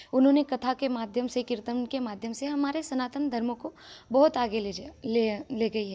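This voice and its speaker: In a Marathi accent, a woman speaks with a dark, mellow tone. Her pitch is high, with ordinary pitch variation. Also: moderate pace. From Maharashtra, India. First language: Marathi (speaking Hindi). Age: young. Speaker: religious storyteller. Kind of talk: interview.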